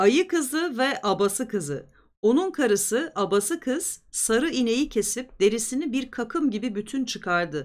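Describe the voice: Big pitch swings stand out on a very clean recording with a silent background. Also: woman.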